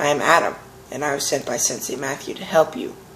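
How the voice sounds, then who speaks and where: A man puts on a raspy character voice with a fairly high pitch. He speaks at a very fast pace over clear background noise. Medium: read story. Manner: calm, terse.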